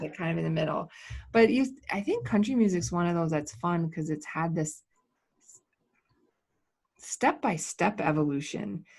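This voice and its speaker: A somewhat breathy voice with lively intonation and long, frequent pauses, on a very clean recording with a silent background. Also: woman, fairly low pitch for a woman, moderate pace. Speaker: podcast host. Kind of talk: casual podcast interview.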